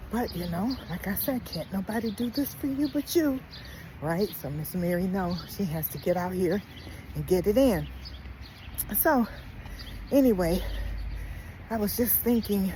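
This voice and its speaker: Lively intonation from a woman, with long, frequent pauses and noticeable background noise. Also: medium pitch for a woman, moderate pace. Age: 60s. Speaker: lifestyle vlogger. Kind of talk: casual vlog monologue. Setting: outdoors, walking. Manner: conversational, rambling with fillers.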